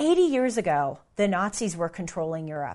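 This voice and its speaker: A woman speaking, moderate in pace. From United States. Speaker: commentator, podcast host. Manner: conversational, storytelling.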